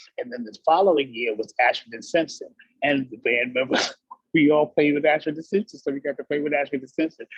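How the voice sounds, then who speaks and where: A man with a plain, everyday voice and an American accent, fairly high in pitch, with ordinary pitch variation and a fairly quick pace. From New York City. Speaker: professional singer. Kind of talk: interview answer. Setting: video call. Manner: casual, conversational.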